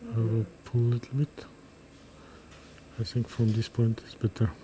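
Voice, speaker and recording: A man with a medium-pitched voice speaks at a moderate pace, somewhat breathy and with a dark, mellow tone. Long, frequent pauses break up his speech. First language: Kazakh. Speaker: neurosurgeon. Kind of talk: live surgical commentary. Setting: operating room, livestream. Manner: halting.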